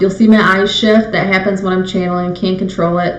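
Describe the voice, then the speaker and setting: A woman with a medium pitch talks at a fairly quick pace in a monotone, flat intonation. Noticeable background noise and audible room echo accompany her. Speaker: psychic medium. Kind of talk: live stream spirit messages. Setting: live video stream. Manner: fast. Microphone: webcam mic, slight echo.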